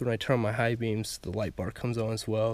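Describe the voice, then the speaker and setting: A man's voice in a dry sound with no echo. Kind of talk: casual vlog chat. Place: car. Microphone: phone near.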